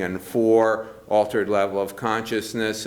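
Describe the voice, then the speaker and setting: Delivered at a fairly slow pace, the speech carries audible room echo. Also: man. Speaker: physician researcher giving a talk. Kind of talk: lecture. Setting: conference room with audience. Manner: many filler words (uh, um).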